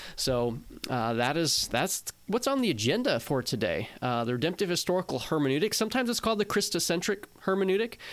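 Very wide pitch swings mark this man's speech at a fairly quick pace. The recording is very clean, with a silent background. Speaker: podcast co-host. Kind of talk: casual theological discussion.

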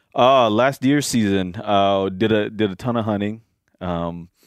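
A man speaks with an American accent. His pace is very slow and his intonation fairly even. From US Midwest. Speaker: hunter. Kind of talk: casual chat.

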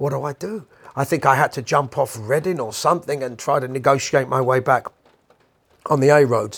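An animated man with a London accent and a fairly high pitch. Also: ordinary pitch variation, fairly quick pace. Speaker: podcast host and musician. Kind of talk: casual monologue rant.

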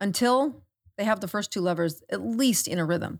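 A woman speaks at a medium pitch with ordinary pitch variation. It is an ordinary speaking voice at a moderate pace. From South Dakota, US Midwest. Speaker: medical doctor. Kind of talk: podcast interview. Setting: studio.

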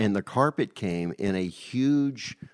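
Speaking very slowly in an American accent, a man uses a fairly low pitch with ordinary pitch variation. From Virginia. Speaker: record label executive. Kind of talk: interview.

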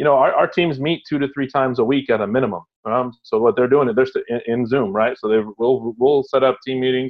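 A man with an American accent speaks in a normal speaking voice at a medium pitch with fairly even intonation. His pace is fairly quick, with hardly any pauses. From Houston, Texas. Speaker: water polo performance director. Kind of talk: interview. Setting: call.

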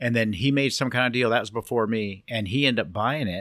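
An ordinary speaking voice with an American accent moves at a fairly quick pace with ordinary pitch variation. The recording is very clean, with a silent background and a dry, close sound with no echo. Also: man. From Southern California (Long Beach, Cypress). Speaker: Volkswagen engine builder. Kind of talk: casual interview.

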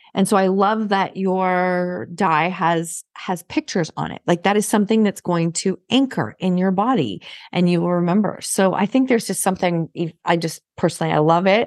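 A woman uses a plain, everyday voice at medium pitch and moderate pace, with ordinary pitch variation, a dry, close sound with no echo, and a quiet background. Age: 50s. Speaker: podcast host and business coach. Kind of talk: interview.

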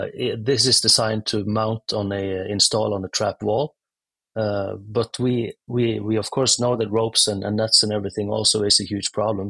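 Bright and sharp in tone, a man speaks at a moderate pace in a monotone, flat delivery. The sound is dry and close, with no echo. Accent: Norwegian. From Norway. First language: Norwegian. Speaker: tech startup founder. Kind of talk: interview. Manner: halting.

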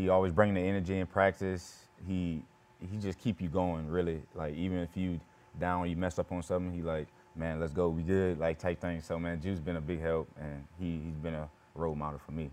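In a very deep, low pitch, a man speaks at a fairly quick pace with monotone, flat intonation. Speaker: football player. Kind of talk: casual interview. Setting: studio.

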